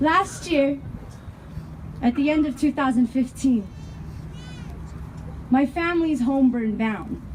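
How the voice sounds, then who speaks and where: Speaking with an American accent at a fairly slow pace, the voice has ordinary pitch variation and long, frequent pauses, with noticeable background noise. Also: woman, high pitch for a woman. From Denver, Colorado. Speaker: activist speaker. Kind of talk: rally speech.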